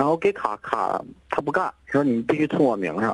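Noticeable background noise sits behind a man with a fairly high pitch. The sound is dry and close, with no echo. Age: 30s. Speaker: caller, design studio owner. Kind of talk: phone-in advice call. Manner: halting.

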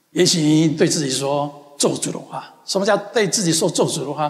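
An animated, gentle tone from a man with a high pitch and ordinary pitch variation. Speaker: pastor. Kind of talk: sermon. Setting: church; church with congregation in the US. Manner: earnest, repetitive, affirming declarations.

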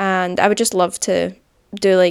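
With a Scottish accent, the speaker talks at a moderate pace in a dry, close sound with no echo. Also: woman. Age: 20s. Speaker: podcast host. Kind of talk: casual monologue. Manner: upbeat.

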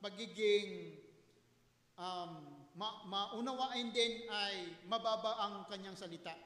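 With a raised, projected voice, a man speaks at a high pitch and a very slow pace, using ordinary pitch variation. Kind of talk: sermon. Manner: earnest, teacherly preaching, polite, with pauses; formal, emphatic, mixing Tagalog and English.

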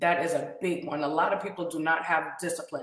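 Noticeable room echo hangs around this woman's voice. Her pitch sits fairly low. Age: 30s. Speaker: podcast host and tea business owner. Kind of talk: talk show monologue.

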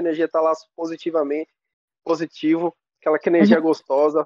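A dry, close sound with no echo carries speech delivered at a fairly quick pace. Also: man. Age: 20s. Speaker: DJ. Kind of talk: casual interview.

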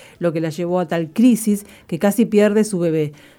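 At a fairly quick pace, a woman speaks in a medium pitch with a dark, mellow tone and ordinary pitch variation. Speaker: radio co-host. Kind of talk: reading a testimony aloud; radio show chat.

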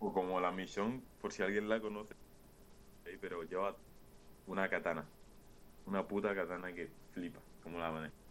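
A man speaks with a very deep, low pitch and fairly even intonation. His speech is broken by long, frequent pauses. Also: moderate pace. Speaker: streamer's friend. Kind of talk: casual chat. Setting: video call.

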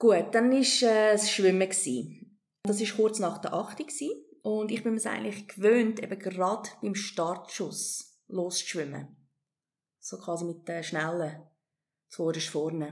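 Using a normal speaking voice, a woman talks at a fairly slow pace with medium pitch and lively intonation. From South Africa and Hong Kong, moved to Switzerland at 17. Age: 40s. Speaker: amateur triathlete. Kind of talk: interview, personal story.

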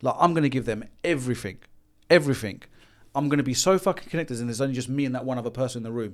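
Speaking very fast with a London accent, a man uses a medium pitch and ordinary pitch variation. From London, Haringey. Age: 40s. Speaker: business consultant for tradesmen. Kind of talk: casual chat.

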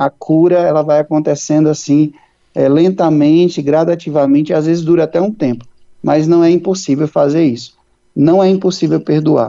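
A normal speaking voice from a man, fairly high in pitch, with fairly even intonation and very even loudness. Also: moderate pace. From Brazil, interior of Ceará. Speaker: Capuchin friar and priest, author. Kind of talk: interview.

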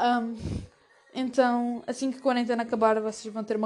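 Music plays in the background as a woman speaks with a European Portuguese accent. Her voice is fairly high, and her pace fairly quick. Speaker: podcaster. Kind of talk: casual chat. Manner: animated.

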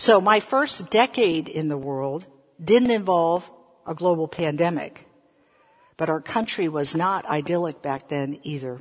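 Speaking with an American accent, a woman has a normal speaking voice, a fairly low pitch, lively intonation and a fairly slow pace. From US South. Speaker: preacher. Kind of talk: sermon. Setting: online church service.

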